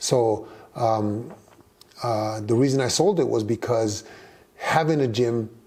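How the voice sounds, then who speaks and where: Noticeable background noise accompanies speech with fairly even intonation. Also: man. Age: 60s. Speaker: boxing trainer. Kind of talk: interview. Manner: halting.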